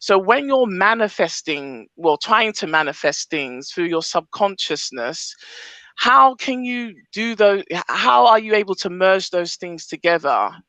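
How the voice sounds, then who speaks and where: With a strong British accent, a woman speaks at a fairly slow pace in a bright, sharp tone of medium pitch, using very wide pitch swings, the sound dry and close with no echo. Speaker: audience member asking a question. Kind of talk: live group call Q&A.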